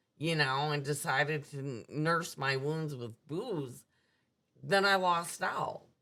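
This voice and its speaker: A woman's very slow speech with an American accent, very deep, low pitch, ordinary pitch variation and a bright, sharp tone, in a very clean recording with a silent background. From US Midwest, suburban Milwaukee. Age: 60s. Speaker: recovering alcoholic sharing her story. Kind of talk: personal testimony in interview.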